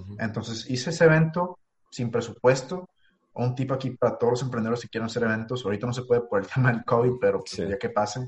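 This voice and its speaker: A somewhat breathy man at medium pitch, very fast, with big swings in loudness. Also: ordinary pitch variation. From Mexico, Ensenada, Baja California. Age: 20s. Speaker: entrepreneur. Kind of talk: casual interview.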